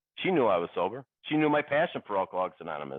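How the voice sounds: A man talks at a very fast pace in a fairly low pitch. His voice makes big pitch swings.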